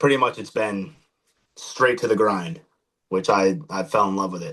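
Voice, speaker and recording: A man speaks at a moderate pace. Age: 20s. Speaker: MMA fighter. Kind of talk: podcast interview. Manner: hesitant, many fillers.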